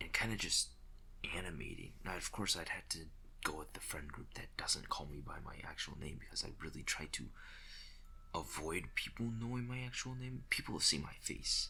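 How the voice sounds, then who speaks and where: Audible room echo surrounds a soft-spoken man. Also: moderate pace. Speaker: YouTuber and digital artist. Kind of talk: casual voiceover commentary over speedart. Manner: hesitant, many fillers.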